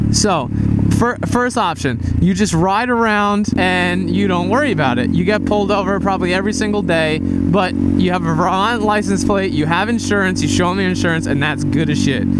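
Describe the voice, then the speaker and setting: Speech moves at a fairly quick pace in a dry sound with no echo, against loud background noise. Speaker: motovlogger. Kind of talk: casual vlog chat. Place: motorbike. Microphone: helmet.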